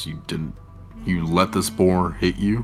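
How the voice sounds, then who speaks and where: A man puts on a character voice, growling at a very deep, low pitch and a fairly slow pace over clear background music. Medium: actual play. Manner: dry, wry.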